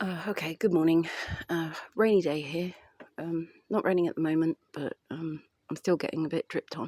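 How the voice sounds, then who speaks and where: Using a British accent, a woman with a fairly low pitch and a dark, mellow tone speaks at a moderate pace with fairly even intonation and long, frequent pauses, in a dry, close sound with no echo. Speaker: vlogger. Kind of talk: casual vlog monologue. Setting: outdoors in light rain. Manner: halting; subdued, lower voice.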